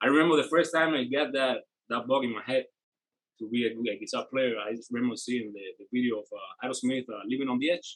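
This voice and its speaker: A man with a Spanish accent speaks at a very fast pace. His pitch is medium, with ordinary variation. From Cuba. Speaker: rock guitarist. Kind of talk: casual chat.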